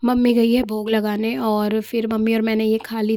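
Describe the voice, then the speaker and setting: At a moderate pace, a woman with a fairly high pitch speaks in a dark, mellow tone. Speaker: vlogger. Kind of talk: casual vlog narration. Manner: chatty, filler-heavy.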